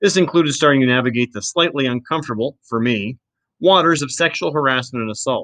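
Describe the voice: A plain reading aloud plays out with a quiet background behind it.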